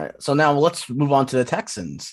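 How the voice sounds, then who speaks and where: Against a quiet background, a man with an American accent and an unremarkable speaking voice talks at a moderate pace with ordinary pitch variation. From US Northeast, Philadelphia area. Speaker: guest co-host, football fan. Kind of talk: casual sports chat.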